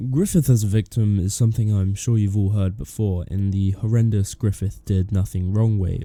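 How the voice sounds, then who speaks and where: A man speaks at a fairly quick pace with a dark, mellow tone. His pitch is fairly low, with ordinary variation. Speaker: video essayist. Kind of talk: analytical video essay narration.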